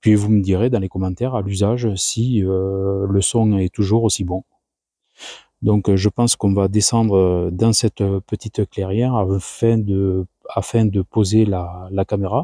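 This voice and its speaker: A soft-spoken man talks at a fairly slow pace in a dark, mellow tone, with fairly low pitch and monotone, flat intonation. The very clean recording has a silent background and a dry, close sound with no echo. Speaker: wildlife camera youtuber. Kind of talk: vlog narration. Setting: outdoors in forest. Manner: speaking very softly. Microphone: new lavalier mic.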